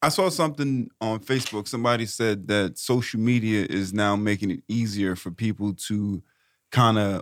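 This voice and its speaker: An unremarkable speaking voice from a man, fairly low in pitch at a moderate pace, on a very clean recording with a silent background. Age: 30s. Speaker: podcast host. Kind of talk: casual chat.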